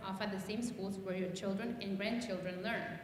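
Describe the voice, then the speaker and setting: Over noticeable background noise and audible room echo, a woman with a Spanish accent speaks at medium pitch and a moderate pace with fairly even intonation. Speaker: journalist, local media founder. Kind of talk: talk reading from notes. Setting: church sanctuary with audience.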